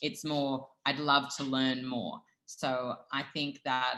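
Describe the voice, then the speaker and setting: A woman with an Australian accent speaks in a very deep, low voice. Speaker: dietitian and food brand founder. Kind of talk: interview.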